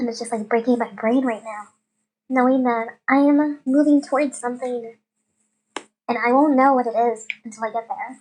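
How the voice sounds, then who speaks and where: A woman's high voice with fairly even intonation and long, frequent pauses. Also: moderate pace. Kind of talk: casual reflective monologue.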